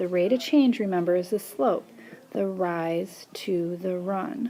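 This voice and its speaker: A plain, everyday voice from a woman, medium in pitch with lively intonation. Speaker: math teacher. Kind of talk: tutorial.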